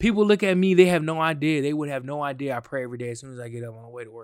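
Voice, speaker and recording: A man with a fairly high pitch rattles along at a very fast pace with lively intonation. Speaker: podcast host. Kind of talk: casual monologue. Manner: halting, many restarts and fillers; off the cuff, unscripted.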